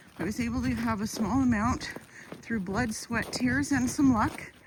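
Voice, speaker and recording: A woman with a Canadian accent talks at a moderate pace against noticeable background noise. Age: 60s. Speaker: YouTuber. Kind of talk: casual vlog monologue. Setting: outdoors on a walk with dogs.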